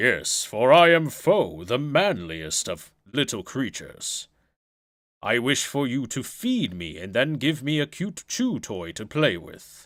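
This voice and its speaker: A man puts on a character voice at a medium pitch. He goes at a fairly slow pace, and his pitch swings very widely. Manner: pompous.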